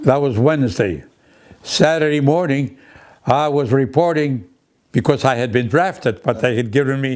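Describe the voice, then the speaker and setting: Speaking at a fairly slow pace, a man with a Greek accent uses a medium pitch and ordinary pitch variation. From Greece. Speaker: broadcaster and war veteran. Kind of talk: interview.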